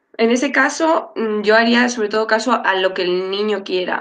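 A woman has an unremarkable speaking voice, fairly high in pitch. She talks at a moderate pace with ordinary pitch variation. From Madrid, Spain. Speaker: dietitian-nutritionist. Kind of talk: panel discussion.

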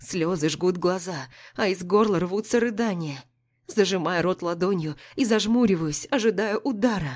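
The speaker uses a natural reading voice with ordinary pitch variation. The background is quiet.

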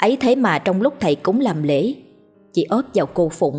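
Heard here is a natural reading voice.

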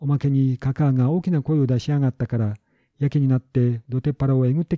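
Against a quiet background, someone is reading aloud in a natural voice with fairly even intonation.

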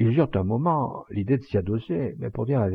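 Someone reads in a natural voice, and the intonation is lively.

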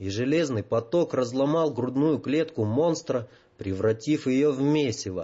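Throughout the recording, there is an unforced reading voice.

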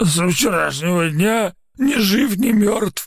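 A hoarse, put-on character voice goes along at a fairly slow pace. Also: man, high pitch for a man.

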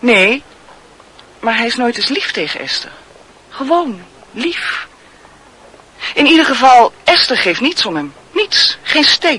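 In a put-on character voice, a woman speaks slowly with long, frequent pauses, big pitch swings, a bright, sharp tone and a slightly husky edge. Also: fairly high pitch for a woman.

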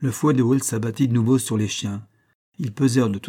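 A quiet background behind plain reading aloud

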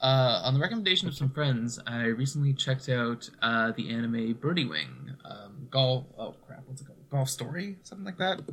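With an ordinary speaking voice at a medium pitch, a man uses lively intonation and big swings in loudness. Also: moderate pace. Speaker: fill-in guest host. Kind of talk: casual chat. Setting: remote recording.

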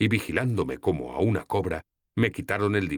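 Someone does plain reading aloud against a quiet background.

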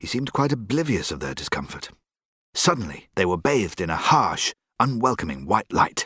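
The speaker uses a natural reading voice against a quiet background.

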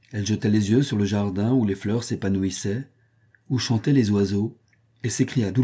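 A passage is being read aloud in a natural voice.

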